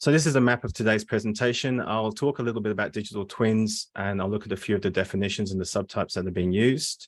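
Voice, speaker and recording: A man with a slight English accent and a fairly low pitch talks at a very fast pace with hardly any pauses against a quiet background. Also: ordinary pitch variation. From England, Surrey. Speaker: postdoctoral researcher. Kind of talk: academic seminar presentation. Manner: hesitant, many fillers.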